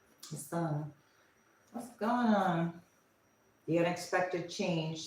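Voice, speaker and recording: Her voice is fairly low for a woman, and she speaks very slowly. Room echo is audible. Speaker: tarot reader. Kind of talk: live tarot reading. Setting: livestream. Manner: casual, thinking aloud with fillers.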